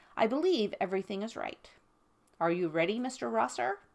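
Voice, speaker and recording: A woman puts on a character voice at a medium pitch, her pitch swinging very widely. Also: fairly quick pace. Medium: read story. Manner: formal, polite.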